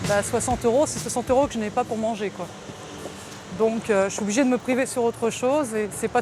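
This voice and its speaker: Music plays in the background as a woman speaks at a fairly high pitch. Her pace is fairly quick and her intonation fairly even. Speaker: aspiring singer. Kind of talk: documentary interview. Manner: casual, hesitant with fillers.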